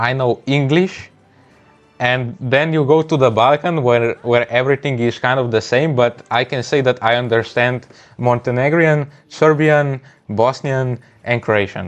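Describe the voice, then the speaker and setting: Here a man speaks at a fairly slow pace. His intonation is fairly even. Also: medium pitch for a man. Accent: Slovenian. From Slovenia. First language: Slovenian. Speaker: gaming streamer. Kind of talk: live gameplay stream chat. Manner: halting, frequent word repetitions.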